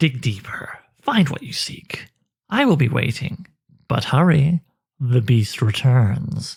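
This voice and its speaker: A man hisses in a put-on character voice with a sinister tone. He speaks at a fairly slow pace with long, frequent pauses. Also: medium pitch for a man. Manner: hissing, sinister.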